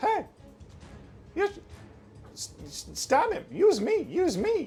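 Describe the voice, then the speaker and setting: A put-on character voice at extremely high pitch speaks at a very slow pace over faint music in the background. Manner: urging, pleading.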